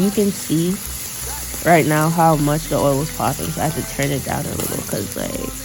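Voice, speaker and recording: Speaking at a moderate pace, a woman shows ordinary pitch variation. Audible room echo and noticeable background noise come through. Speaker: cooking vlogger. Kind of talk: voiceover narration of cooking video. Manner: casual, filler-heavy; stumbles over words.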